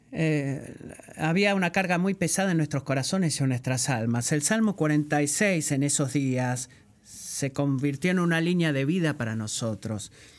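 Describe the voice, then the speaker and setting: A man at a fairly high pitch and fairly slow pace, very even in loudness, with ordinary pitch variation. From Puerto Rico. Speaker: guest preacher. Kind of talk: sermon.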